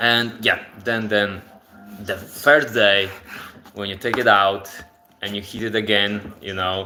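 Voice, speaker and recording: With music in the background, a man talks at a fairly slow pace in a Polish accent. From Poland. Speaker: cooking livestreamer. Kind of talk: live cooking stream. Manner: casual, halting with repetitions.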